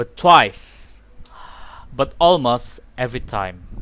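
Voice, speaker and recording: A man with a Malaysian accent at a very slow pace. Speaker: gaming youtuber. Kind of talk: gameplay commentary reading dialogue.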